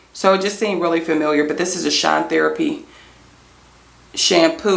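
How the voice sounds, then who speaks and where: Noticeable background noise sits behind a woman speaking with an American accent and lively intonation. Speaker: natural hair product reviewer. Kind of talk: product review vlog. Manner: fast.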